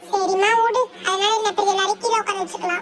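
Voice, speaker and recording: Amid light background noise, a woman does a squeaky, cartoonish character voice, extremely high and monotone with flat intonation, at a fairly quick pace. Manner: homely, talkative.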